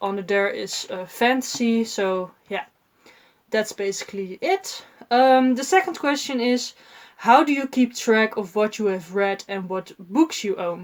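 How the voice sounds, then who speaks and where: A woman speaks at a fairly slow pace in a Dutch accent, her fairly high pitch rising and falling with ordinary variation. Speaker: book vlogger. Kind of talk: casual vlog talk. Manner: halting, many fillers.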